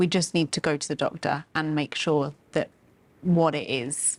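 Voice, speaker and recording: A woman at a moderate pace in a very clean recording over a silent background. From Britain. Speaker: podcast host. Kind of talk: interview.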